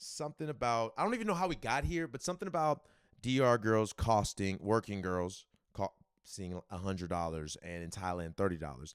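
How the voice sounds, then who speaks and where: With a Southern US accent, the speaker uses lively intonation at a moderate pace on a very clean recording with a silent background. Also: man. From US South. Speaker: musician and storyteller vlogger. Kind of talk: casual storytelling. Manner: casual, conversational.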